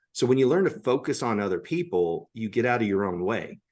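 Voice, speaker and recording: A man with an American accent and a normal speaking voice, medium in pitch, at a fairly quick pace with lively intonation, against a quiet background. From United States. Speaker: public speaker on communication skills. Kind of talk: podcast interview.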